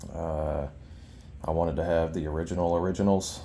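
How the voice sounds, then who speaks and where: In a room with audible echo, a man speaks at a fairly slow pace in a very deep, low voice with monotone, flat intonation. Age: 30s. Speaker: collector showing his collection. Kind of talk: casual show-and-tell video. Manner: hesitant, many fillers.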